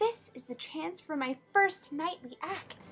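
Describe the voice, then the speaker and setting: Exaggerated character voice from a woman, pitched extremely high and delivered fairly slowly. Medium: read story. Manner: polite, timid.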